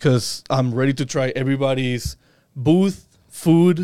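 His speech is very slow. The man's pitch moves in an ordinary way. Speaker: school podcast co-host. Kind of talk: casual school podcast interview.

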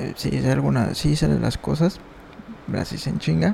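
Against noticeable background noise, a man with a Mexican accent speaks at a fairly slow pace. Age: 20s. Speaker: podcaster. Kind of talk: casual monologue.

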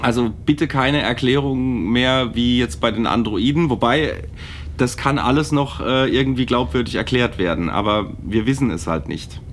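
The speaker uses lively intonation and has vocal fry. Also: man, medium pitch for a man, moderate pace. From Palatinate, Germany. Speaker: podcast co-host. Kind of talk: casual chat.

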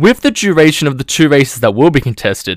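Speaking with an Australian accent, a man's fairly high voice moves at a fairly quick pace with very wide pitch swings. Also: very clean recording, silent background. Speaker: podcast host. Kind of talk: scripted preview narration.

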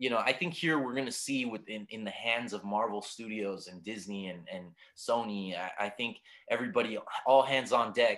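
In a normal speaking voice, a man of medium pitch speaks at a moderate pace with ordinary pitch variation and big swings in loudness. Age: 30s. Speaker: movie podcaster. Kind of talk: casual chat.

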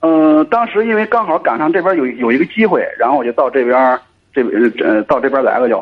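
A man talks with very wide pitch swings while his loudness stays very even. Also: fairly high pitch for a man, fairly quick pace. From Cangzhou, Hebei, China. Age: 30s. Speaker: caller. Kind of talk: radio call-in advice chat. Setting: phone call. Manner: halting.

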